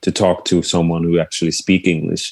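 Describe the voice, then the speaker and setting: The speech is monotone and flat, with a Swedish accent. The sound is dry and close, with no echo. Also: man. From Sweden. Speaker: musician and songwriter. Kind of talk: casual interview chat. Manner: halting, many fillers.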